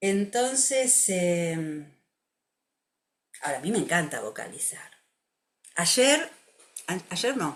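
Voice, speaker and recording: The speaker has a Rioplatense accent and a very slow pace with long, frequent pauses. The pitch swings very widely. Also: woman. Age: 60s. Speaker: music therapist. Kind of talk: interview.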